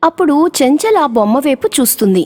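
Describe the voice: A woman talks at a fairly quick pace in a high voice with big pitch swings and a slightly mellow tone. The sound is dry and close with no echo.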